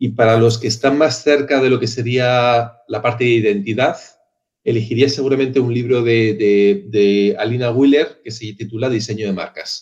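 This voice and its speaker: There is fairly even intonation in this man's unremarkable speaking voice. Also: medium pitch for a man, moderate pace. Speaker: marketing and branding professional. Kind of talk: interview answer, casual.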